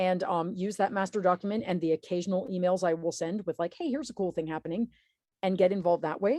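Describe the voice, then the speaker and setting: A woman's medium-pitched voice with a dark, mellow tone, ordinary pitch variation and a very fast pace, dry and close with no echo. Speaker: political activist and newsletter author. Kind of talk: webinar presentation.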